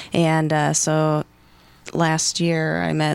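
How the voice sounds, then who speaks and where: The voice belongs to a woman. It sits very deep and low in pitch. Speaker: actress. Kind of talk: casual chat.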